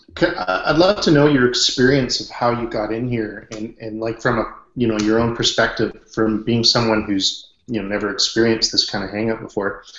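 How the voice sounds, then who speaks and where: A man with a Canadian accent at a medium pitch, ordinary pitch variation and a moderate pace, hardly any pauses, and audible room echo. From western Canada. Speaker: online business consultant; hangout host. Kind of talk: group video chat. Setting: video call. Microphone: webcam.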